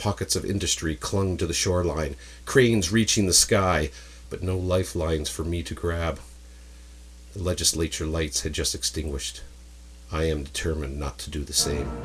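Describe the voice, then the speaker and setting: On a very clean recording with a silent background, a man with a very deep, low voice and vocal fry speaks at a moderate pace with ordinary pitch variation. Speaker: writer reading own story. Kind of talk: dramatic spoken word story reading.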